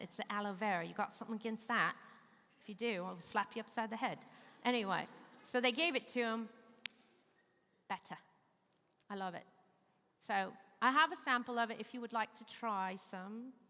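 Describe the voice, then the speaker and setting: Fairly quick pace with long, frequent pauses, a bright, sharp tone, an American accent, ordinary pitch variation, and big swings in loudness. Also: woman, fairly high pitch for a woman. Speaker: presenter giving a talk on eye health. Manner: fast talker; joking, folksy.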